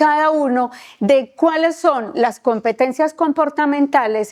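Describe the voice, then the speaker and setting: Here a woman talks at a fairly slow pace. Her pitch is high. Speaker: instructor. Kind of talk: lecture.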